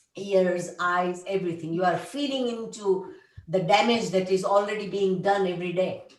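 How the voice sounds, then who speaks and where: There is audible room echo as a woman talks at a moderate pace and medium pitch with fairly even intonation. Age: 70s. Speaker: conference participant. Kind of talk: group video call discussion. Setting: video call.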